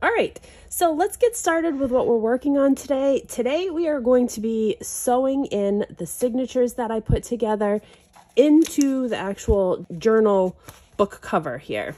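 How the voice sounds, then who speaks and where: Her voice high and her intonation lively, a woman speaks. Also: moderate pace. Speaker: crafting YouTuber. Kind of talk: tutorial. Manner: casual, with filler ums.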